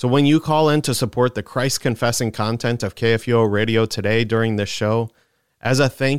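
A man with a normal speaking voice talks at a moderate pace, his pitch medium. The sound is dry and close with no echo, and the pitch varies in an ordinary way. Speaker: radio host and pastor. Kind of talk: radio discussion, panel show.

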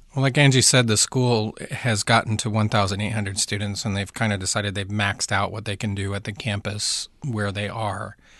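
Against a quiet background, a man with an American accent talks in an unremarkable speaking voice at a fairly low pitch, keeping a fairly quick pace with hardly any pauses and fairly even intonation. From US, Baltimore. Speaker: missionary pastor. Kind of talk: interview. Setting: studio.

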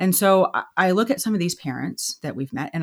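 This woman has an unremarkable speaking voice with an American accent. Her intonation is lively. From Texas. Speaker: stay-at-home mother and nonprofit founder. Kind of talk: podcast interview.

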